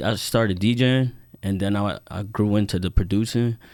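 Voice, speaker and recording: A man's fairly low voice with an American accent, fairly even intonation and a moderate pace, on a very clean recording with a silent background. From New Jersey. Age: 30s. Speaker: DJ and music producer. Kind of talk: casual podcast interview.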